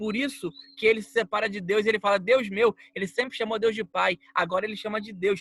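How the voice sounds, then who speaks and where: Dry and close with no echo, a high-pitched man's voice moves at a fairly quick pace with fairly even intonation. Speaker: preacher. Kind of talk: bible teaching.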